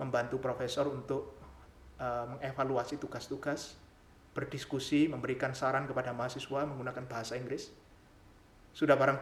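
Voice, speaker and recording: At a fairly quick pace, a man talks in a medium pitch with monotone, flat intonation and audible room echo. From Java, Indonesia (village). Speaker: doctoral student and channel creator. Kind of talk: channel introduction monologue. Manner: formal.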